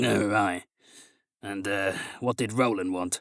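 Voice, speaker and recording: A man puts on a raspy character voice at a fairly low pitch. He goes at a fairly slow pace with fairly even intonation, and the sound is dry and close with no echo. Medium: read story. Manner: folksy, dry.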